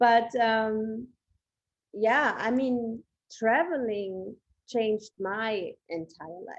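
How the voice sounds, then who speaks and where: A woman speaks with a German accent. Her fairly high pitch shows ordinary pitch variation. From Germany. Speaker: podcast host. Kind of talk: podcast interview.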